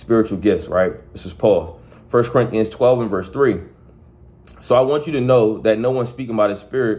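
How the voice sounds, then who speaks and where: A man's dark, mellow voice at a medium pitch. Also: ordinary pitch variation, moderate pace, big swings in loudness. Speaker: preacher. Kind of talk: sermon. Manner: conversational, repetitive; earnest, exhorting. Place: home room. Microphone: phone near.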